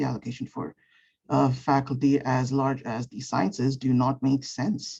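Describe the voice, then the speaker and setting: A woman speaks with a very deep, low pitch and a dark, mellow tone. Her pace is fairly slow, with vocal fry. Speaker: undergraduate student, student board member. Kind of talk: public comment at a meeting.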